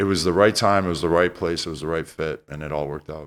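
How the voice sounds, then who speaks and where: Silence behind a man's voice on a very clean recording. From Canada (Toronto). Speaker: retired basketball player and TV commentator. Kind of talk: casual podcast interview.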